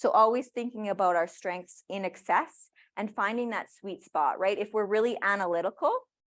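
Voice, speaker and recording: A woman of medium pitch with a Canadian accent and ordinary pitch variation. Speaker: career services coordinator. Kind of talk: workshop presentation. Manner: fast.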